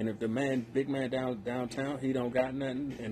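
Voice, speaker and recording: Here a man speaks in a medium-pitched voice with a dark, mellow tone. He sounds somewhat breathy. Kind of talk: casual chat.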